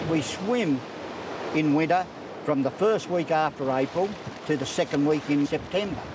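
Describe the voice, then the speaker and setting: With a strong Australian accent, the speaker goes at a moderate pace with long, frequent pauses and ordinary pitch variation, against noticeable background noise. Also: man, fairly high pitch for a man, very even loudness. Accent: broad Australian. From Australia, New South Wales south coast. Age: 60s. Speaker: swimming club president. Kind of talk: casual interview.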